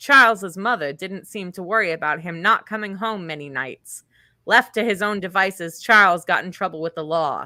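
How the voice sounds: Quiet background, natural reading voice, ordinary pitch variation.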